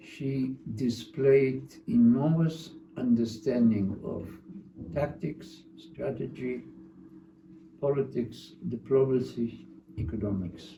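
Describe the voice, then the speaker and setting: A man's medium-pitched voice, very slow, with lively intonation and long, frequent pauses. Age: 90s. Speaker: retired history professor. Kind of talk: interview. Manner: halting.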